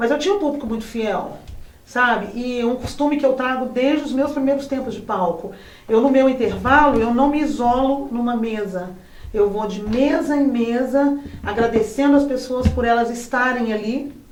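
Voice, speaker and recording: With noticeable background noise and audible room echo, a woman speaks at a high pitch with ordinary pitch variation. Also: moderate pace. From Brazil, São João del Rei, Minas Gerais. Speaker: singer. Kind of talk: interview. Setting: studio.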